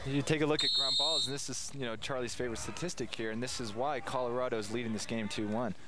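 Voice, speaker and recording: A man with a medium pitch talks at a very fast pace in an animated tone, with hardly any pauses. Noticeable background noise is audible. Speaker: color commentator. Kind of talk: live sports commentary. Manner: animated, explaining replays.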